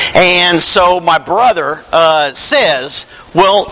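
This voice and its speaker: Noticeable background noise sits behind this recording. A man with a Tennessee accent talks at a high pitch in a raised, projected voice. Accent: Southern US (Tennessee). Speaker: preacher. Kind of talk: sermon.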